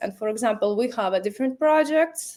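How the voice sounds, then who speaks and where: A woman speaks with a Latvian accent. Her intonation is lively. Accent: Russian-speaking Latvian accent in English. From Latvia (Riga). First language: Russian. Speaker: marketing professional, company founder. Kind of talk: interview. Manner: halting, non-fluent English with many fillers.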